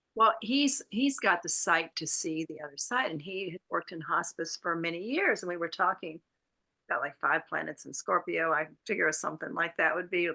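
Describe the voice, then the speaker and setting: The sound is dry and close with no echo as a woman speaks at a moderate pace. Her tone is bright and sharp, her pitch fairly low with ordinary variation. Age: 70s. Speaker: co-host of interview show. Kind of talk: casual chat.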